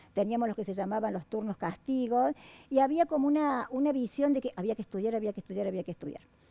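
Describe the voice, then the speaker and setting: Dry and close with no echo, a woman's fairly high voice has a dark, mellow tone and races along at a very fast pace. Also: lively intonation. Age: 60s. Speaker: university dean. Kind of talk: interview. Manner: halting.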